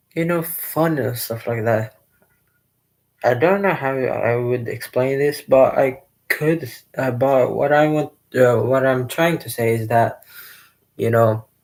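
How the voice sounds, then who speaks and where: With a non-native accent, a man talks at a fairly slow pace and medium pitch, with ordinary pitch variation and long, frequent pauses. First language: not English. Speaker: gaming youtuber. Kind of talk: casual vlog monologue. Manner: hesitant, many fillers.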